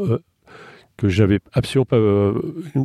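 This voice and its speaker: With a dark, mellow tone and ordinary pitch variation, a man speaks in a dry, close sound with no echo. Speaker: children's author and artist. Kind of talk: interview. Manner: hesitant, many repetitions.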